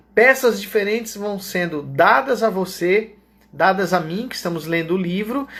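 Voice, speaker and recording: A man speaks at a fairly slow pace. His pitch sits high. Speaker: Bible teacher. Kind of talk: Bible study lecture.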